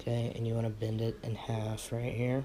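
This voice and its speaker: This man talks quietly at a medium pitch, his tone dark and mellow and his intonation flat and monotone. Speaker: vape coil building tutorial maker. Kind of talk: tutorial. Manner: quiet, low-key; casual, conversational.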